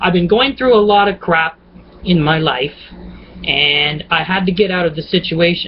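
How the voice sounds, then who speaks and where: A man's high-pitched voice at a moderate pace with ordinary pitch variation, against noticeable background noise. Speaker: vlogger. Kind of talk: casual vlog monologue. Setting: at home on a laptop webcam. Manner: chatty, rambling with fillers.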